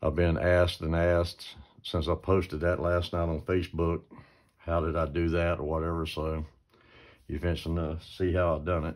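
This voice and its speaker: In a quiet setting, a man speaks at a moderate pace with a very deep, low pitch and monotone, flat intonation. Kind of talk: tutorial. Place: workshop. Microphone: phone near.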